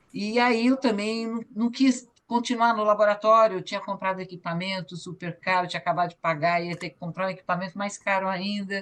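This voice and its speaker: Talking at a fairly quick pace with hardly any pauses, a woman uses a medium pitch and ordinary pitch variation. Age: 60s. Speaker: photographer and cultural activist. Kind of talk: online meeting testimony. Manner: halting.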